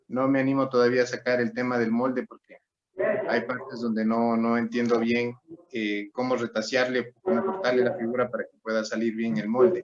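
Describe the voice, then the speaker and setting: A man talks at a moderate pace in a medium pitch with a slight Ecuadorian accent. His pitch varies in an ordinary way while his loudness swings widely. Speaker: student. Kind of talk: class question.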